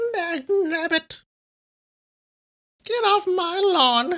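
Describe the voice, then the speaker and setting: A put-on character voice, gruff and strained at an extremely high pitch. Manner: grumpy, shouting.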